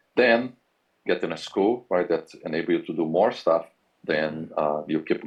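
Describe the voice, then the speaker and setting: A man with a Brazilian accent talks at a moderate pace. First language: Portuguese. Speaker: university professor. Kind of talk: career advice talk.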